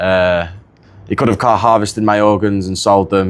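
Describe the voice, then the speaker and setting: A man with a northern English accent at a very fast pace, fairly low in pitch, with fairly even intonation. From northern England, near Manchester. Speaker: wrestling camp attendee. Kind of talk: casual chat. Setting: podcast recording.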